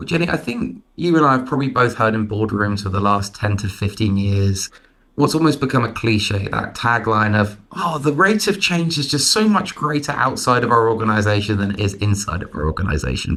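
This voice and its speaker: Speaking fairly quickly with hardly any pauses, a man with an English accent uses lively intonation at a medium pitch. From London, England. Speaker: management consultant. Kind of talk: interview.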